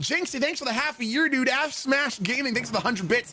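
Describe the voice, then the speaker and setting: With a Canadian accent, a man uses a raised, projected voice while music plays in the background. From Canada, Ontario. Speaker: gaming streamer. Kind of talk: live gaming stream chat. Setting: home basement streaming setup. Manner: animated.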